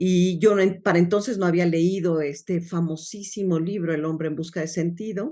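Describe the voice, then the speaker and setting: At a fairly slow pace, a woman speaks with a fairly low pitch and a dark, mellow tone. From Mexico City. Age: 60s. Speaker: logotherapist. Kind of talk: interview.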